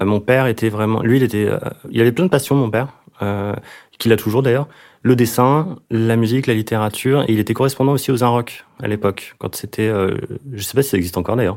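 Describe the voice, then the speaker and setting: A man talks at a very fast pace yet with long, frequent pauses, his medium pitch showing ordinary variation. The recording is very clean, with a silent background. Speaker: singer-songwriter and record producer. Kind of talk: casual interview. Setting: home studio. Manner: halting.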